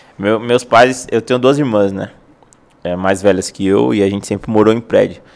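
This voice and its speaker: At a moderate pace, a man talks in a fairly low voice, a plain, everyday voice. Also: ordinary pitch variation. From São Paulo city, Brazil. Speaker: football freestyle content creator. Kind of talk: casual chat.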